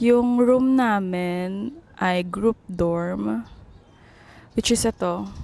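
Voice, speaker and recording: This woman's voice sits at a medium pitch. Her intonation is lively. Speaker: travel vlogger. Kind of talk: vlog narration. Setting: on a bus. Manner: quiet.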